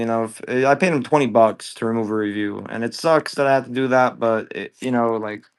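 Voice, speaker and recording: This man moves along at a fairly quick pace. There is ordinary pitch variation in how he speaks. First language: Bulgarian. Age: 20s. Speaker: live-stream reseller. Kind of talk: live sales stream. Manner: casual, animated.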